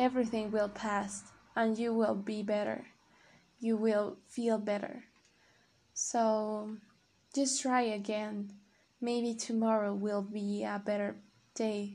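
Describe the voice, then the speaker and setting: With a non-native accent, a woman speaks very slowly in a fairly high pitch and a dark, mellow tone, monotone and flat, leaving long, frequent pauses. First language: not English. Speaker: podcaster practicing English. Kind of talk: casual monologue. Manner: halting.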